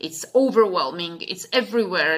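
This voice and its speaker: At a moderate pace, a woman with a Slovak accent speaks in a bright, sharp tone with ordinary pitch variation. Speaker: English teacher. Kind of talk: casual talk. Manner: halting, many fillers.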